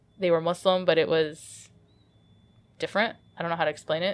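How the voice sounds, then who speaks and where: A woman speaks with a Midwestern accent. Her pace is fairly quick. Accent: American Midwest. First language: Arabic. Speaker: comic artist. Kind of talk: interview.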